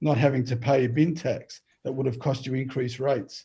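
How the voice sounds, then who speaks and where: A man's somewhat breathy voice, medium in pitch with a dark, mellow tone, moves at a fairly quick pace. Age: 60s. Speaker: council candidate. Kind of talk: closing statement. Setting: video call.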